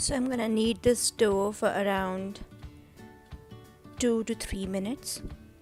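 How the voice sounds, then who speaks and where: With music in the background, the speaker goes at a fairly slow pace in fairly even intonation, leaving long, frequent pauses. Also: woman, medium pitch for a woman. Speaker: home cook. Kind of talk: cooking tutorial.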